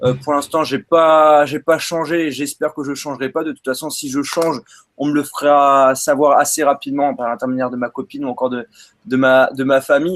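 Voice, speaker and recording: An unremarkable speaking voice, a man's fairly high one, comes through with fairly even intonation in a dry, close sound with no echo. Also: fairly quick pace. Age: 20s. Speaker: tech youtuber. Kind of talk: casual chat.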